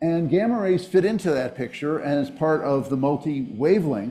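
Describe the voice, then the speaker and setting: A man with an American accent and a dark, mellow tone, lively in intonation, with audible room echo. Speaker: physics professor. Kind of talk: lecture. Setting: auditorium with audience. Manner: fast.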